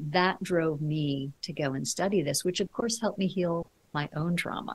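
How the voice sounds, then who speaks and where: This woman's voice is fairly low and somewhat breathy. Her pitch varies in an ordinary way. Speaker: leadership coach. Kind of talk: interview.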